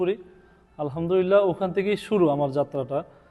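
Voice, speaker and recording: Fairly even intonation from a man in a plain, everyday voice. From Bangladesh, Chandpur district. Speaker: restaurant supervisor and network marketing member. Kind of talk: testimonial.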